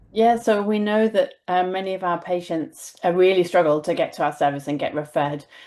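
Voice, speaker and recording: Against a quiet background, a woman with a British accent speaks at a fairly quick pace and a medium pitch in a dark, mellow tone, with ordinary pitch variation and hardly any pauses. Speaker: infectious disease physician and professor. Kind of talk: webinar presentation; answering a question in a webinar. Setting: video call webinar. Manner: fast.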